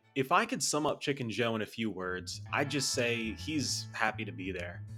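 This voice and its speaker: With music playing in the background, a man speaks at a medium pitch with ordinary pitch variation. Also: moderate pace. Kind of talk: video essay narration. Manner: casual.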